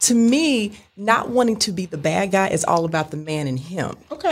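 Somewhat breathy woman at medium pitch, moderate pace, very wide pitch swings and hardly any pauses. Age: 40s. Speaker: dating podcast guest. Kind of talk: casual chat.

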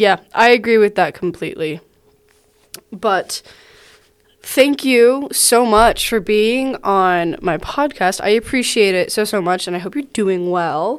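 At a fairly slow pace, a woman with a fairly high pitch speaks in an ordinary speaking voice with lively intonation. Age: 20s. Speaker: podcast host. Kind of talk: casual chat.

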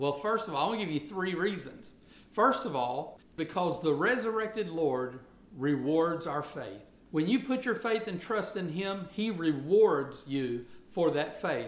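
Audible room echo fills the space as a man talks with a Southern US accent at a fairly slow pace. His high voice carries lively intonation. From US South. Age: 50s. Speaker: pastor. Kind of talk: sermon.

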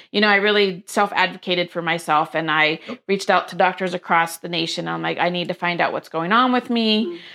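A woman with an American accent, an ordinary speaking voice, fairly low pitch, ordinary pitch variation and a fairly quick pace. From US, various places (Air Force brat). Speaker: small business owner, dog treat baker. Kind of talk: casual interview.

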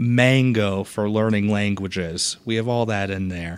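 Using an ordinary speaking voice, a man talks at a fairly slow pace in a fairly low pitch with ordinary pitch variation. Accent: American. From Boston, Massachusetts. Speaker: library circulation head. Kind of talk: casual interview. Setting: podcast studio.

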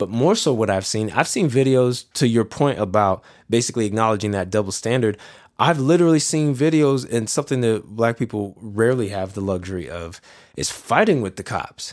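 Speaking at a fairly quick pace, a man uses a plain, everyday voice of medium pitch with lively intonation. The recording is very clean with a silent background. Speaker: podcast guest. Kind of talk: casual conversation.

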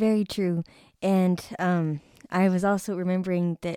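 Very clean and set against a silent background, this recording features a woman. Her pitch is fairly low and her intonation monotone and flat. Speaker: podcast host, cancer survivor. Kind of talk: interview, faith-based talk.

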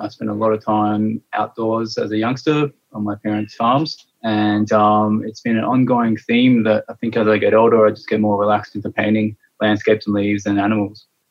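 A fairly low-pitched man with an Australian accent, monotone and flat, with hardly any pauses. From Adelaide, South Australia. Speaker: mural artist. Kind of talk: interview. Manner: hesitant, with fillers.

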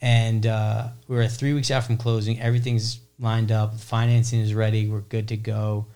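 A man speaks at a moderate pace with hardly any pauses, his medium pitch held in a monotone, flat intonation. His tone is dark and mellow. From New Jersey suburbs. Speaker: real estate investor, landlord. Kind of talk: interview, casual chat.

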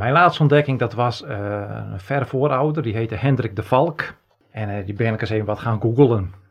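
This man's voice sits at a medium pitch and sounds somewhat breathy. He talks at a fairly quick pace with ordinary pitch variation. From Netherlands, Friesland. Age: 40s. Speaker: podcast co-host, genealogist. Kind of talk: casual chat.

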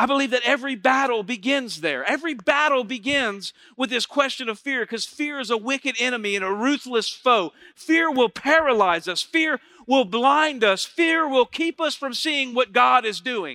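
A man's raised, projected voice, extremely high in pitch with a bright, sharp tone, ordinary pitch variation and a moderate pace, in a dry, close sound with no echo. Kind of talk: sermon to a live congregation. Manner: animated call-and-response preacher, urging the crowd to say amen; warm, conversational, stops and restarts mid-sentence.

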